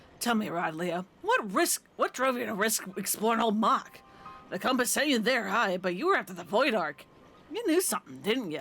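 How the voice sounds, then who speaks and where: The speaker uses a put-on character voice that sounds gruff. Delivery moves at a moderate pace. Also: woman, fairly high pitch for a woman. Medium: game stream. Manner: gruff, salty pirate speech.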